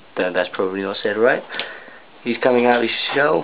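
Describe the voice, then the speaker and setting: The delivery is fairly quick with fairly even intonation, set against noticeable background noise. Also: man. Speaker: spider and reptile keeper. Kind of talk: casual commentary on pet video. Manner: rising intonation at end of sentences. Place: home room.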